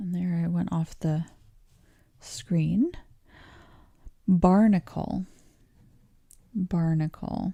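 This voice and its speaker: A woman with a Canadian accent speaks very slowly, with long, frequent pauses and fairly even intonation. Her voice is somewhat breathy, calm, dark and mellow. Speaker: English teacher. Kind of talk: pronunciation livestream tutorial. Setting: livestream.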